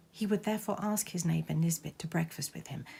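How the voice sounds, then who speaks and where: This woman's voice sits fairly low in pitch and sounds somewhat breathy. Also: very clean recording, silent background. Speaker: amateur theatre performer. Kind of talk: ghost story reading.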